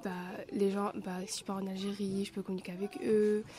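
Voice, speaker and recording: A woman speaks in an Algerian accent at a moderate pace. Background noise is noticeable. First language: Arabic (speaking French). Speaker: resident of a shelter, interviewee. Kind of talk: interview answers. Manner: hesitant, casual.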